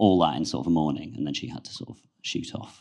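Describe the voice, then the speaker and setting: Speaking at a fairly quick pace, a man with a very deep, low pitch and vocal fry shows ordinary pitch variation. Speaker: filmmaker and comedy TV worker. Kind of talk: panel Q&A answers.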